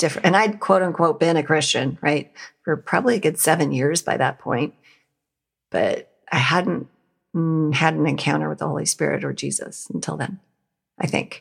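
Someone with a Western US accent speaks at a moderate pace with long, frequent pauses on a very clean recording with a silent background. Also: woman. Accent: American, Western US. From Montana, US. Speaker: nonprofit founder and leadership trainer. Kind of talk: interview conversation.

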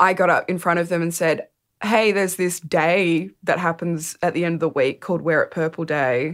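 A woman with an Australian accent, fairly low in pitch, at a moderate pace, in a very clean recording against a silent background. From regional New South Wales, Australia (Dubbo). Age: 20s. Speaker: storyteller. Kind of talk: interview.

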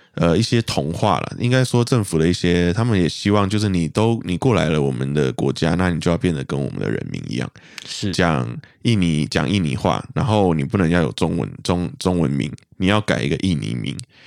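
A man with a Malaysian accent, very deep and low in pitch, with very wide pitch swings. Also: fairly quick pace. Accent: Malaysian Mandarin. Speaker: guest from Malaysia. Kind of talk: casual chat.

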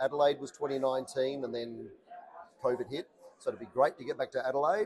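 A man with an Australian accent talks at a moderate pace in a fairly high pitch. His intonation is lively, broken by long, frequent pauses. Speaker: conference MC. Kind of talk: casual interview. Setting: conference venue.

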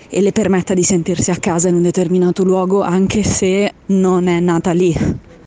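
A woman's medium-pitched voice in a flat monotone over noticeable background noise. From Apulia, southern Italy. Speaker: listener sending voice message. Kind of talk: voice memo. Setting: outdoors on the street.

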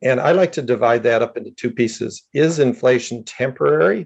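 This is a man with an unremarkable speaking voice. His pitch variation is ordinary. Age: 60s. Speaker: economist. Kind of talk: podcast interview.

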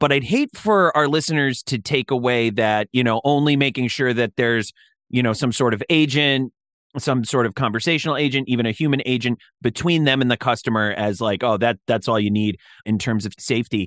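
A man speaks in a normal speaking voice at medium pitch, with ordinary pitch variation and a fairly quick pace. The sound is dry and close with no echo, and the background is quiet. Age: 30s. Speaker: podcast host. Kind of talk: interview.

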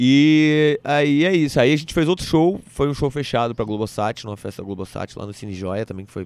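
A man with fairly high pitch speaks at a fairly quick pace, using lively intonation and big swings in loudness. He leaves hardly any pauses. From Brazil, Brasília then Recife. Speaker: stand-up comedian. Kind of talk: casual interview chat.

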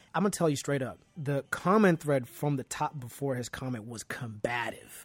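Over music in the background, a man with a fairly high voice speaks at a moderate pace in an animated tone with lively intonation. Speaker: interview guest. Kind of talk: casual conversation. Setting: remote call from home basement.

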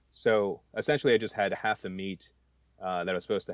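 In an American accent, the speaker talks at a very fast pace with fairly even intonation over a very clean recording and a silent background. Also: man. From New Jersey. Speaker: home cook. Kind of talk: casual chat. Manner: halting.

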